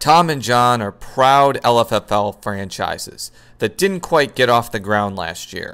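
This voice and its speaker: This man has an unremarkable speaking voice at a medium pitch, with lively intonation and a fairly slow pace. The recording is very clean, with a silent background. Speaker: fantasy football league commissioner-style predictor. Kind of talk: scripted narration.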